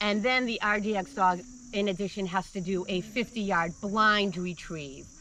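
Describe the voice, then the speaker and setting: The speech moves at a fairly slow pace, with light background noise. The sound is dry, without echo. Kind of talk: interview answer. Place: waterside. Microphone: camera far.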